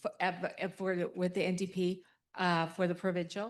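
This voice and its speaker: A woman speaks softly at a medium pitch. The background is quiet. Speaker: political candidate. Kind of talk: forum speech. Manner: soft-spoken. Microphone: handheld mic, held close after prompting.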